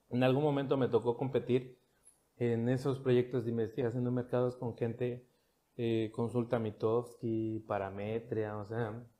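A man with a medium pitch speaks in a dark, mellow tone. His delivery is flat and monotone at a fairly slow pace. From Mexico, Cancún. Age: 30s. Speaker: marketing professional and government communications official. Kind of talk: casual interview chat. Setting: office studio.

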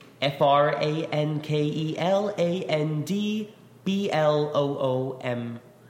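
A man with an American accent speaks very slowly at a fairly high pitch, with ordinary pitch variation and noticeable background noise. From New York. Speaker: lyricist. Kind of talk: casual interview.

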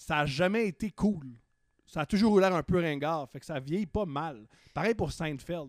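In a very clean recording with a silent background and a dry, close sound with no echo, a man speaks in a high pitch with a Quebec accent and an animated tone. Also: ordinary pitch variation, fairly slow pace. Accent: Québécois French. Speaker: comedian. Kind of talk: casual chat.

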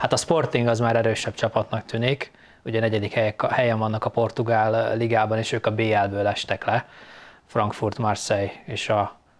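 The man's medium-pitched voice holds a monotone, flat intonation as he speaks at a moderate pace. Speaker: podcast host. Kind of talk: casual interview chat.

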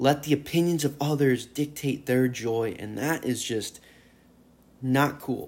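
Here a man talks at a very slow pace. His pitch is fairly high, with ordinary pitch variation. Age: 20s. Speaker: solo podcaster, fitness enthusiast. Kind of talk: casual monologue. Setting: at home on the couch. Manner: animated.

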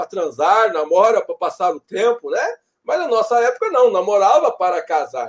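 A man speaks at a fairly slow pace in an extremely high pitch. His voice makes very wide pitch swings. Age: 40s. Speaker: university professor of leisure studies. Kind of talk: interview, explanatory lecture style.

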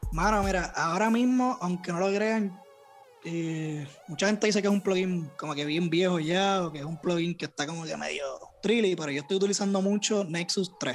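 Music plays in the background while a man speaks. His pitch is high for a man, with ordinary variation, at a moderate pace. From Puerto Rico, Bayamón area. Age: young. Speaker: music producer and youtuber. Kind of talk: casual chat.

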